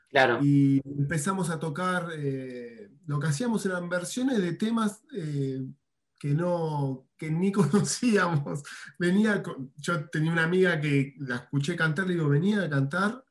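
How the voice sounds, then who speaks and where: A man with an Argentine accent speaks at a fairly slow pace and a fairly high pitch, with ordinary pitch variation. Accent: Rioplatense Argentine Spanish. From Argentina, Buenos Aires. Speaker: rock guitarist. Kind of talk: interview. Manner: hesitant, many fillers.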